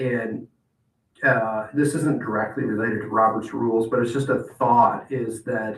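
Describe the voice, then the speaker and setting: Somewhat breathy male speech, with ordinary pitch variation. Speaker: city attorney giving training. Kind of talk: training presentation. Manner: hesitant, many fillers.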